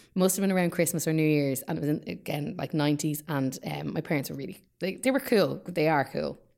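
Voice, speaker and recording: A woman with an Irish accent, fairly low in pitch, at a very fast pace with ordinary pitch variation. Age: 30s. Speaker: actor. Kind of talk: casual chat.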